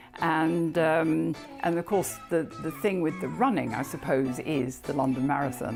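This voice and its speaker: A woman's voice over music in the background. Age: 70s. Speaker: amateur runner with osteoporosis. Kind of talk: interview answer.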